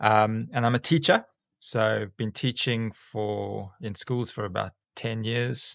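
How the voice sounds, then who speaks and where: Recorded very cleanly against a silent background, a man with a South African accent speaks at a medium pitch with ordinary pitch variation. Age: 40s. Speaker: school teacher and snake catcher. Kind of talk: casual interview chat. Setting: podcast.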